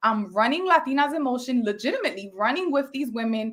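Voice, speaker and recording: A woman speaks at a high pitch and a fairly quick pace. Her intonation is lively. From North Philadelphia, Puerto Rican family. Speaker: business coach and motivational speaker. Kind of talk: online coaching session. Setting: live online session with chat. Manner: animated.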